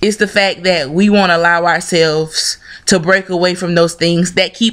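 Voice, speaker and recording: At a moderate pace and over a quiet background, a woman with a Southern US accent speaks with ordinary pitch variation. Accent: Southern American English. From Southern United States. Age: 20s. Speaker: video blogger. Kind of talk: casual opinion talk to camera. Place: home room. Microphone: webcam.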